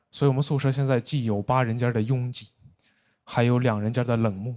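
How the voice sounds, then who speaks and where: A man with a Beijing accent, talking very fast. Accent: Beijing Mandarin. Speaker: stand-up comedian; university student. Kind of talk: stand-up comedy set.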